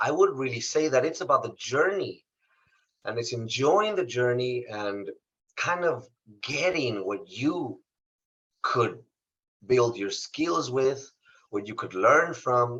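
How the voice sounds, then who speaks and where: Speaking very slowly with long, frequent pauses, a man with a Spanish accent uses a medium pitch and lively intonation. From Mexico, Saltillo, Coahuila. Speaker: motivational speaker. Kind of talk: interview testimony.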